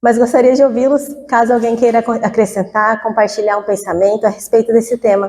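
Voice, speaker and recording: A woman's high-pitched voice with a Cuiabá accent, dark and mellow in tone, at a moderate pace with fairly even intonation. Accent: Cuiabá accent, noticeable. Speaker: spiritist lecturer. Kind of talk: lecture. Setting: spiritist center talk with audience, microphone. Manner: conversational, chatty.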